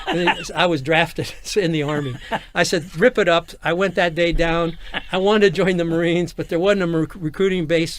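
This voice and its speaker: Over noticeable background noise, a man with an American accent speaks fairly quickly at a high pitch with fairly even intonation. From Los Angeles area, California. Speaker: nightlife entrepreneur, navy veteran. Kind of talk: interview, personal storytelling. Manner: halting with false starts.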